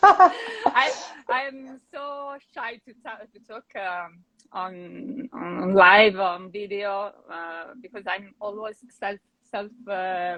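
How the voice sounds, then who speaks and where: With an Italian accent, a woman of medium pitch speaks very slowly in a bright, sharp tone, using ordinary pitch variation and big swings in loudness. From Italy. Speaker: painter. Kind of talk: casual interview. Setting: video call livestream. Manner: halting.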